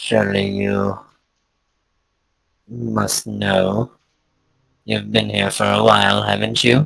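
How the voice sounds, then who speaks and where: A put-on character voice from a man, very deep and low, at a fairly slow pace with long, frequent pauses. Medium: actual play. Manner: evasive, slightly haughty.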